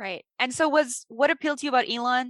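Fairly quick and bright, sharp in tone, a woman with an American accent speaks in a dry, close sound with no echo. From US Midwest, Illinois. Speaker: podcast host. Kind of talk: interview conversation.

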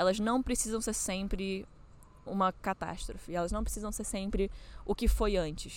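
A woman talks in an ordinary speaking voice at medium pitch. Her pace is moderate and her intonation fairly even. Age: 20s. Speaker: podcaster. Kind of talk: personal reflection monologue. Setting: outdoors. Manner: casual, conversational.

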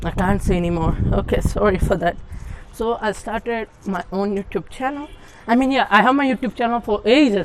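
A woman talks at a fairly quick pace and fairly high pitch with ordinary pitch variation, over noticeable background noise. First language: not English. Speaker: podcaster. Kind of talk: solo monologue podcast. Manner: halting.

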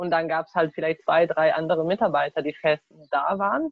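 Speaking at a moderate pace, a woman lets her pitch move in an ordinary way. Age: 20s. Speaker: university student. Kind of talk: casual chat. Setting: video call from a garden. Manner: halting.

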